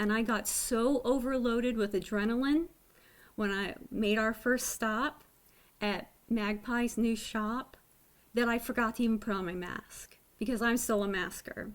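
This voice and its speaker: A woman speaks at a fairly high pitch and a fairly slow pace. The recording is very clean, with a silent background. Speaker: knitting podcaster. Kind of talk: casual video podcast chat. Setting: home webcam recording. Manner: less animated than usual.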